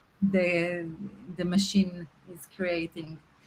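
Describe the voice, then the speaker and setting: Somewhat breathy and medium in pitch, a woman talks at a very slow pace. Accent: non-native. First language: not English. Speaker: art show host, curator. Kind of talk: interview. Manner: halting, many fillers.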